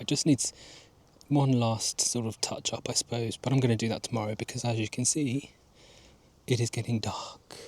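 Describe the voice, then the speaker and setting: Somewhat breathy, a man with an English accent speaks with fairly even intonation. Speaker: gardening vlogger. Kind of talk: casual vlog narration. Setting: outdoors in garden at dusk.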